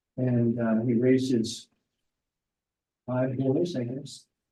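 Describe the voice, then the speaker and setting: A medium-pitched man with an American accent, with audible room echo. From Corvallis, Oregon. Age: 70s. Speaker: community council candidate. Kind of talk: self-introduction at public meeting.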